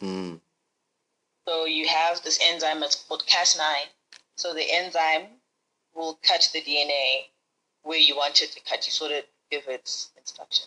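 Fairly slow pace with long, frequent pauses. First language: not English. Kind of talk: casual chat.

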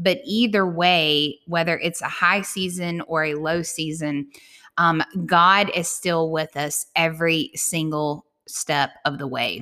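This woman talks at a very slow pace in a fairly low pitch. Her pitch variation is ordinary. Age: 40s. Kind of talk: casual solo monologue.

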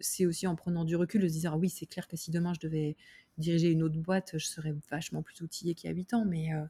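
A woman speaks in a fairly low, somewhat breathy voice with a dark, mellow tone and monotone, flat intonation, the sound dry and close with no echo. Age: 30s. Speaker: startup founder. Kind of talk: interview. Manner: halting.

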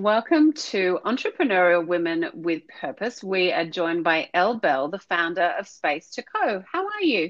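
An ordinary speaking voice with lively intonation. The pace is moderate, with hardly any pauses. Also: woman, medium pitch for a woman. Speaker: podcast host. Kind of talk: interview.

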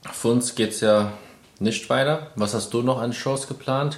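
A man at medium pitch speaks at a very slow pace. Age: 20s. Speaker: bodybuilder and podcast host. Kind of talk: casual chat.

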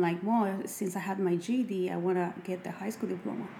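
A woman speaks with a Mexican accent. Her voice sits at medium pitch with ordinary pitch variation. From Mexico. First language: Spanish. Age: 30s. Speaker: makeup artist and cosmetics entrepreneur. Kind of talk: casual interview.

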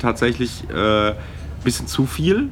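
Speaking at a fairly slow pace, a man has a medium pitch. Noticeable background noise runs behind him. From Palatinate, Germany. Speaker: podcast co-host. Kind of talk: casual chat.

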